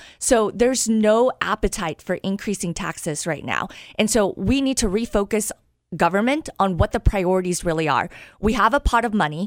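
A normal speaking voice from a woman with an American accent, medium pitch, lively intonation and a moderate pace, in a very clean, dry, close recording with a silent background and no echo. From US Midwest, Wichita, Kansas. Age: 30s. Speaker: former journalist, mayoral candidate. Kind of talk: radio interview.

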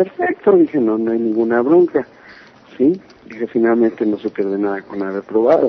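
Against noticeable background noise, a man talks at medium pitch and a moderate pace. His intonation is lively. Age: 30s. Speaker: metal singer. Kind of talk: interview.

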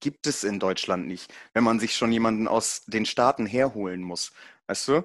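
A man with a normal speaking voice at a medium pitch, ordinary pitch variation and a moderate pace, against a quiet background. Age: 20s. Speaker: powerlifting event announcer. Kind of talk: casual chat.

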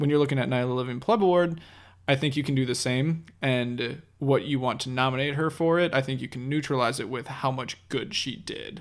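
This man has an ordinary speaking voice, medium in pitch, with ordinary pitch variation and a fairly quick pace. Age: 20s. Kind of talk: casual chat.

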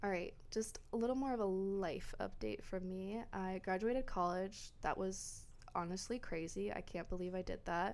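A woman speaks in an unremarkable speaking voice at medium pitch, with ordinary pitch variation, a moderate pace, and hardly any pauses. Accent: American. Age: 20s. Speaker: podcast host, book club. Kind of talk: casual solo podcast monologue.

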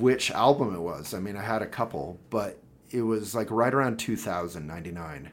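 A man with an American accent speaks in a normal speaking voice. His pitch is fairly low and his pace is moderate. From Boulder, Colorado. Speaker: political candidate and publisher. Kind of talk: casual chat. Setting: office.

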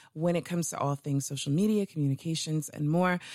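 Speaking at a fairly quick pace, a woman with a very deep, low pitch sounds animated, her pitch varying in an ordinary way on a very clean recording with a silent background. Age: 30s. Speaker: radio show host. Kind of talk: casual interview.

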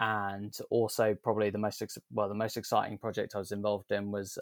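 Someone with a southern English accent talks at a fairly quick pace, the sound dry and close with no echo on a very clean recording with a silent background. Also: man. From southern England. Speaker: sustainability consultant. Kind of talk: interview. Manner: hesitant with many fillers.

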